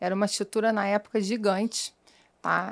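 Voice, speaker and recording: Recorded very cleanly against a silent background, a woman with a Rio de Janeiro accent speaks at medium pitch in a dry, close sound with no echo. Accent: carioca accent, noticeable. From Rio de Janeiro, Brazil. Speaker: sales executive. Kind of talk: interview.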